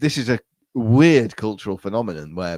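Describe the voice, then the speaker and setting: With a fairly low pitch and ordinary pitch variation, a man talks at a moderate pace in an animated tone, the sound dry and close with no echo. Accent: English. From England. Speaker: podcast guest, podcaster. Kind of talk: casual chat. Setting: remote call.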